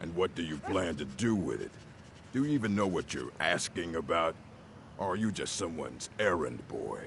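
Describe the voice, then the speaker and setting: A gruff put-on character voice at a moderate pace with lively intonation, over clear background noise. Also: man, very deep, low pitch for a man. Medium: video game. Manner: gruff, condescending.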